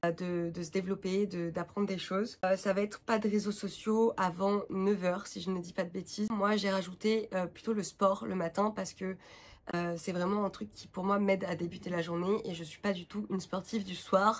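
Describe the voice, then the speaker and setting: With monotone, flat intonation, a woman talks at a moderate pace and medium pitch. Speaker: vlogger and freelance graphic designer. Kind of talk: casual vlog talk to camera. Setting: home, sitting on the floor. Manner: many hesitations (euh).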